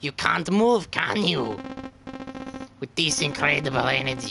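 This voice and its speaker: A man's put-on character voice at medium pitch and a moderate pace, with music in the background. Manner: menacing, gloating.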